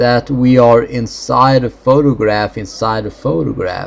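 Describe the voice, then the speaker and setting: A man speaks very slowly in a mid-range pitch. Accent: Swedish. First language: Swedish. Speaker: gaming video creator. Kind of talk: let's play commentary. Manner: halting.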